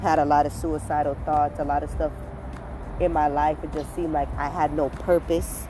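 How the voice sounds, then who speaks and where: Audible room echo surrounds a woman speaking at a moderate pace. Background noise is noticeable. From Caribbean. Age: 20s. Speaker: podcast host. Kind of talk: casual monologue. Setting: outdoors.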